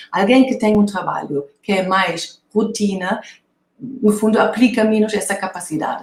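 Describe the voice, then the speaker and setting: A woman speaks with a German accent. Her pace is fairly slow and her pitch fairly high. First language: German (speaking Portuguese). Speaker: author and lecturer on creativity. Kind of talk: conference talk. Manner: hesitant, many fillers.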